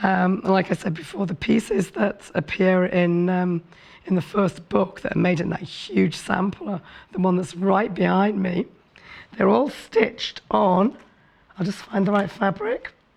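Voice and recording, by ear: A woman speaks at a fairly slow pace and medium pitch, with ordinary pitch variation. Her slightly mellow voice is husky, with vocal fry.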